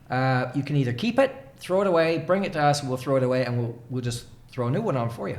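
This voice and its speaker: With an American accent, a man talks at a fairly quick pace and medium pitch with ordinary pitch variation, amid audible room echo and noticeable background noise. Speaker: leadership coach. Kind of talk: casual chat. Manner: animated storytelling.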